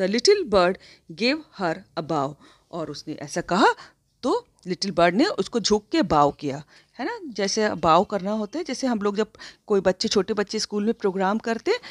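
Very wide pitch swings come through in a very clean recording with a silent background and a dry, close sound with no echo. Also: woman, medium pitch for a woman. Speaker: school English teacher. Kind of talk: lecture.

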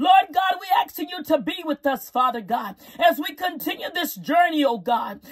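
A woman talks with hardly any pauses in an extremely high pitch. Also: moderate pace. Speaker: prayer leader. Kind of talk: fervent live-streamed prayer, intercessory, with repeated hallelujahs. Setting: live stream to online audience. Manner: impassioned, pleading, rhythmic repetition, rising intensity; commanding and declarative when rebuking. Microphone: phone near.

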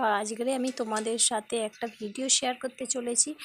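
A woman speaks at a high pitch. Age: 30s. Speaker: lifestyle vlogger. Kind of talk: casual vlog.

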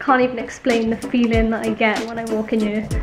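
High-pitched female speech over clear background music. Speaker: woodworker vlogger. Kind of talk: casual vlog chat. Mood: upbeat, reflective. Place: workshop. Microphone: phone near.

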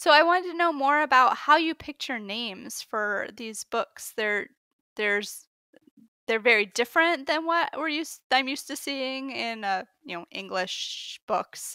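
A woman's raised, projected voice, high-pitched with a bright, sharp tone, very wide pitch swings, big swings in loudness and a fairly slow pace, in a dry, close sound with no echo on a very clean recording with a silent background. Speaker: podcast co-host. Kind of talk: interview.

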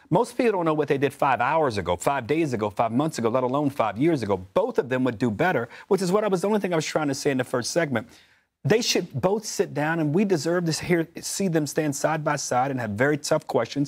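A man with an American accent at a fairly high pitch, talking very fast with hardly any pauses and very wide pitch swings, over a quiet background. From US South, Memphis; Tennessee. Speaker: political commentator. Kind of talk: panel discussion. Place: studio. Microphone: lapel.

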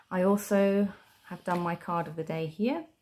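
A woman speaks with a British accent. Her voice is fairly low in pitch and somewhat breathy. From Britain. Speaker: tarot and journaling video creator. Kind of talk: casual show-and-tell tutorial. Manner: chatty, with fillers. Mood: calm, friendly.

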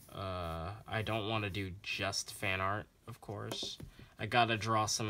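Over light background noise, a man with a fairly low pitch and a bright, sharp tone speaks at a fairly slow pace. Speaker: drawing channel creator. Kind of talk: casual drawing tutorial vlog. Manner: rambling, animated. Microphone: phone near.

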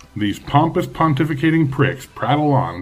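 The speaker is a man. He keeps to a moderate pace. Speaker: video creator, political commentator. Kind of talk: casual political rant to camera, then a rhetorical pep talk. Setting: home video, self-recorded. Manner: profane and brash, self-mocking, punchy; pep-talk stretch: rising, fiery, declamatory, alliterative, defiant. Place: home room. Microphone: phone near.

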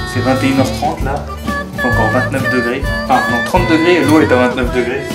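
A man talks at a fairly quick pace. Loud music plays behind him. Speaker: vlogger. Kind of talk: casual vlog chat. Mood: playful, mock-posh tour. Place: home room. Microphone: phone near.

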